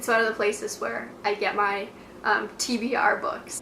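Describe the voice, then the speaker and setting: A woman's fairly high, monotone, flat voice over noticeable background noise. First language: Russian. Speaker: book vlogger. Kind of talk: casual talking-head video monologue. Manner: casual with frequent fillers.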